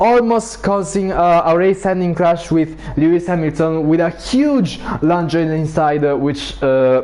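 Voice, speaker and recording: At a fairly slow pace, a man with a high pitch and ordinary pitch variation keeps his loudness very even, with noticeable background noise behind him. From Italy. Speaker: sim racing league commentator. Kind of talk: live commentary.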